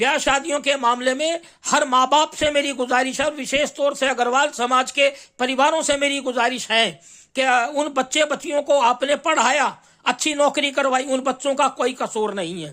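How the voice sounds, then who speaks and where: Raised and projected, a man's voice is bright and sharp at an extremely high pitch, captured in a very clean recording with a silent background. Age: 60s. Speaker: astrologer and journalist. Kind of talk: monologue. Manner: halting, with fillers.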